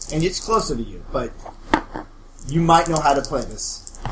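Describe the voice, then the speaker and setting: A man speaks at a moderate pace. Audible room echo and noticeable background noise surround him. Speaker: game master of a tabletop role-playing podcast. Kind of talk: tabletop role-play narration.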